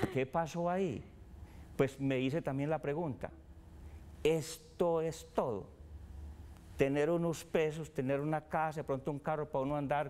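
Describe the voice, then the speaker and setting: Speaking at a fairly slow pace, a man with a fairly high pitch uses a dark, mellow tone and ordinary pitch variation. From Colombia, Antioquia (rural, Salgar). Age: 60s. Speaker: businessman and foundation founder. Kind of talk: interview conversation.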